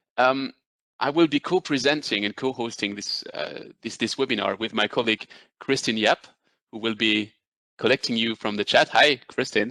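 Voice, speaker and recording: A man with a French accent speaks at medium pitch in a bright, sharp tone. The sound is dry and close with no echo, against a quiet background. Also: ordinary pitch variation, moderate pace. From France. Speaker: business development manager presenting a webinar. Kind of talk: webinar presentation. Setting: video call webinar. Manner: hesitant with many fillers.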